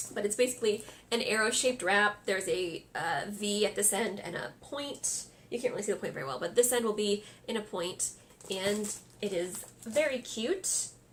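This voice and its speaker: A woman speaks at a moderate pace in a medium pitch with ordinary pitch variation. Noticeable background noise runs behind her. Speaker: crafting podcaster. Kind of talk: casual podcast monologue.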